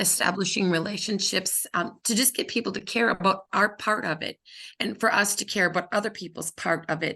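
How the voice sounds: A woman speaks at a moderate pace with fairly even intonation, a bright, sharp tone and vocal fry.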